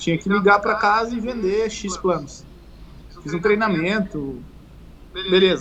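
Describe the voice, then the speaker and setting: A man speaks at a fairly slow pace in a high pitch, with noticeable background noise behind him. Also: ordinary pitch variation. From southern Brazil, Uruguaiana (Rio Grande do Sul). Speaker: fitness coach. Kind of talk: casual chat. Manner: halting.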